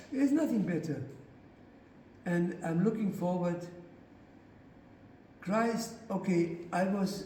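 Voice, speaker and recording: A man with a high voice speaks very slowly, with ordinary pitch variation and long, frequent pauses. Noticeable background noise and audible room echo surround him. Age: 80s+. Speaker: author and speaker on faith. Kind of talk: lecture. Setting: church parish hall with audience. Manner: halting.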